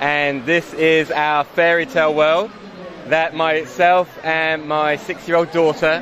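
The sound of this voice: At a slow pace, a man speaks with a fairly high pitch, a fairly bright tone and little pitch movement, with faint background noise.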